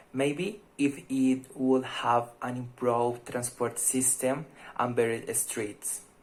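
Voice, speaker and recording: A man with a Spanish accent, at a very slow pace, with fairly even intonation. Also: medium pitch for a man. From Colombia, Fusagasugá (Cundinamarca). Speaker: language student. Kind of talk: mock speaking exam, candidate answers.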